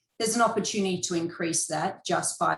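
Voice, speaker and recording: A woman speaks with an Australian accent. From Western Australia. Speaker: mining company executive. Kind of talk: investor presentation. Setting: video conference.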